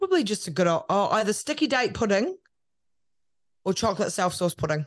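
A woman with a New Zealand accent speaks at a fairly quick pace and medium pitch, her pitch swinging very widely while her loudness stays very even. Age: 30s. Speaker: media personality and podcast producer. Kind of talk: casual interview chat.

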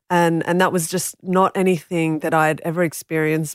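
With an Australian accent, the voice runs at a moderate pace in a monotone, flat intonation, recorded very cleanly with a silent background and a dry, close sound with no echo. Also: woman. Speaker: author and journalist. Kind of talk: interview. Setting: studio.

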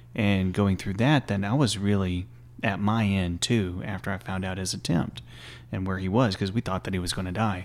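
Very deep and low in pitch, a man with a Texan accent talks at a moderate pace with ordinary pitch variation on a very clean recording with a silent background. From small-town Texas. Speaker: former army chaplain. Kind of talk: casual interview.

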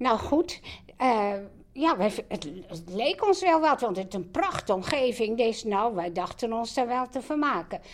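A woman speaks in a high voice with very wide pitch swings. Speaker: host's mother. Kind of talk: personal storytelling.

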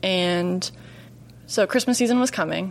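A moderate pace in a plain, everyday voice. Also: woman. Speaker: chef and union organizer. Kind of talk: interview. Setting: studio.

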